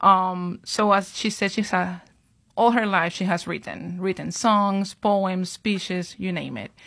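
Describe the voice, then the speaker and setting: On a very clean recording with a silent background, a woman with a normal speaking voice talks at a fairly slow pace with fairly even intonation. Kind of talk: casual interview.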